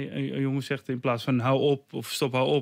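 The background is quiet as a man speaks at a moderate pace. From Netherlands, Almere; Netherlands. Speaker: martial arts trainer and author; interview guest, martial arts teacher. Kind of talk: radio interview. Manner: halting, many repetitions and fillers. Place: studio. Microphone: studio mic.

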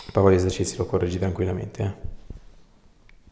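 The tone is dark and mellow. The voice sounds somewhat breathy. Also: man. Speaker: osteopath. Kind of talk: instructions to a patient during an osteopathic treatment. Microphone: lapel.

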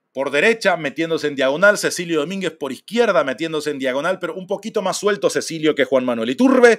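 A man with an ordinary speaking voice talks at a moderate pace and fairly high pitch with lively intonation against a quiet background. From Paraguay. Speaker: football streamer and fan commentator; football streamer, fan commentator. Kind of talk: casual live stream talk. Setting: live stream. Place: home room.

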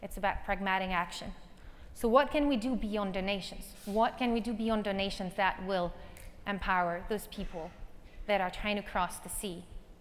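A woman with a French accent, medium pitch, ordinary pitch variation and a moderate pace. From northern France, near Calais. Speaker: nonprofit tech founder. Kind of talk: conference keynote. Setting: stage with audience. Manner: animated. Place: stage.

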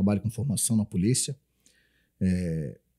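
A man's fairly low-pitched voice, dark and mellow in tone, against a quiet background. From Florianópolis, southern Brazil; Santa Catarina, Brazil. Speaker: military police officer; podcast guest. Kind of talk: podcast interview. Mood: calm, reflective. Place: studio. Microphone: studio mic.

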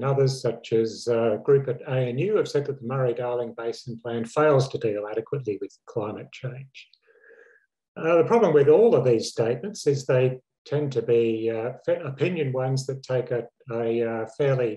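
Over a quiet background, a man with a dark, mellow tone speaks at a moderate pace, somewhat breathy, with ordinary pitch variation. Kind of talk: lecture. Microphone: webcam.

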